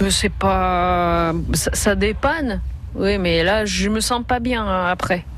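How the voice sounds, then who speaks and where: Spoken very slowly with a slight Russian accent, the voice holds a very even loudness, with audible room echo and noticeable background noise. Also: woman. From Russia (Leningrad). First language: Russian (speaking French). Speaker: association president. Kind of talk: radio talk show. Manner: halting.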